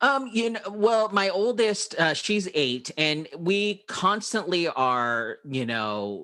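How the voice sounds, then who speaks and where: A man with an American accent speaks at a very slow pace with hardly any pauses, his raised, projected voice high in pitch. His tone is bright and sharp, with very wide pitch swings. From Filipino American. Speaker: podcast host. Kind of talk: casual interview chat.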